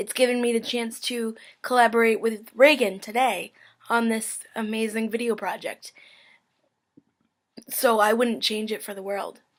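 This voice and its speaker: Fairly high-pitched woman's voice, monotone and flat, at a moderate pace, with long, frequent pauses and big swings in loudness. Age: 20s. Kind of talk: casual vlog monologue. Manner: frequent filler ums, conversational.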